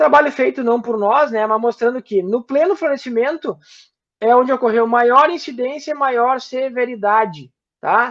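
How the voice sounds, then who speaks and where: Against a quiet background, a man speaks at an extremely high pitch with ordinary pitch variation and a fairly slow pace. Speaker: guest lecturer on plant disease. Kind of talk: online lecture. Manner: halting, many fillers.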